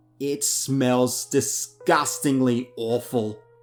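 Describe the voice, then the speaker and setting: Over music in the background, a man speaks very slowly at a medium pitch in a monotone, flat intonation. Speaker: horror story narrator. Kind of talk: horror story narration.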